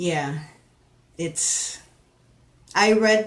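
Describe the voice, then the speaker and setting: Someone with a Spanish accent talks at a very slow pace. Noticeable background noise runs under the voice. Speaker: paranormal discussion panelist. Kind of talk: live stream discussion. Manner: halting, many fillers.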